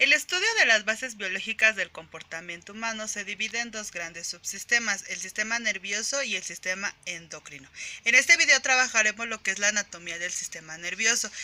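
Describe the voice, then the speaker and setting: An ordinary speaking voice moves at a fairly quick pace, with lively intonation and big swings in loudness. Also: woman. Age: 20s. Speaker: psychology graduate. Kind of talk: educational presentation. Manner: formal.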